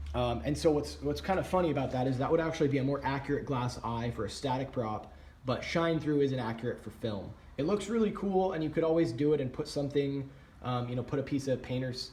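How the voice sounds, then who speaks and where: Amid audible room echo, a man with medium pitch and ordinary pitch variation talks at a very fast pace. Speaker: prop hobbyist YouTuber. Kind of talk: tutorial. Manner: casual with many fillers.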